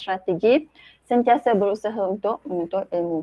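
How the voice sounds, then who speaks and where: There is a quiet background and a dry sound with no echo as a woman talks at a moderate pace with ordinary pitch variation. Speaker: teacher giving book review. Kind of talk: book review presentation. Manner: hesitant, many fillers. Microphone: video call.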